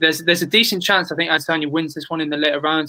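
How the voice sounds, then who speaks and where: A bright, sharp tone in a British accent. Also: man. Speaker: sports podcast host. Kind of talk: casual panel discussion.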